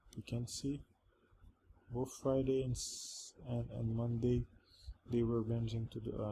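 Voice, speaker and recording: A man with a non-native accent speaks at a medium pitch in a dark, mellow, somewhat breathy tone with monotone, flat intonation. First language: not English. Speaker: trading educator. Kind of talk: tutorial. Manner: halting.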